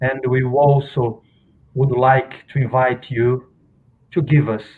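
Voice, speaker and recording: A man talks at a medium pitch with a non-native accent. His intonation stays monotone and flat. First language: Portuguese. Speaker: researcher of spiritist novels. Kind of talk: guest talk. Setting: video call. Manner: halting.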